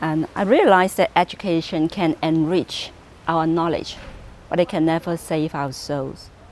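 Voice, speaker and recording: At a moderate pace, a woman with a Cantonese accent speaks at a fairly low pitch with fairly even intonation. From Hong Kong. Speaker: pastor. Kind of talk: personal testimony.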